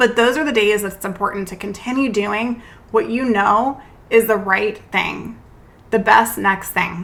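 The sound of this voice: A woman's put-on character voice, raspy and squeaky, at a fairly high pitch and moderate pace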